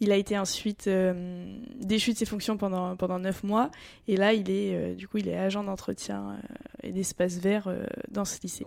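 Monotone, flat intonation from a woman at medium pitch, moderate pace with long, frequent pauses, very clean recording and silent background. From Normandy, France. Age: 20s. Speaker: family caregiver and student athlete. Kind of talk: interview. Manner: halting, repeats words.

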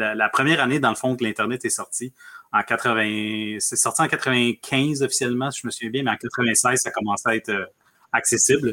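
Bright and sharp in tone, a man speaks at a medium pitch and a moderate pace. The sound is dry and close with no echo, and his intonation is fairly even. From Argentina, raised in Quebec from age 10. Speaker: business growth consultant. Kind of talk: casual interview.

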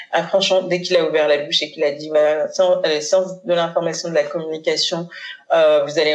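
Noticeable background noise surrounds a woman's fairly low-pitched voice. She speaks with monotone, flat intonation. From Paris suburbs (Seine-Saint-Denis), Haitian-born. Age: 40s. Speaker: communication agency founder. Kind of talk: casual interview. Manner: hesitant, many fillers.

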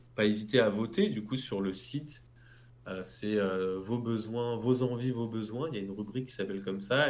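Against audible room echo, a man speaks at a moderate pace with fairly even intonation. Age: 30s. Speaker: clothing brand founder. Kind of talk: interview.

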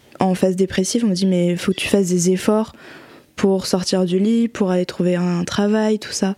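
Fairly slow, monotone speech from a woman at medium pitch, with noticeable background noise. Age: 20s. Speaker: guest with bipolar disorder. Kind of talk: casual chat.

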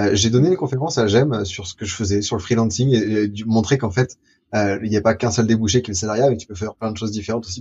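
Talking at a very fast pace, a man has a medium pitch, ordinary pitch variation and a somewhat breathy voice. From France, Lyon. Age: 20s. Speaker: future-of-work explorer and documentary maker. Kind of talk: interview. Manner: animated.

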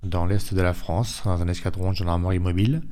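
A man with a very deep, low pitch and a dark, mellow tone speaks with ordinary pitch variation. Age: 40s. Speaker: school teaching assistant. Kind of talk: testimony.

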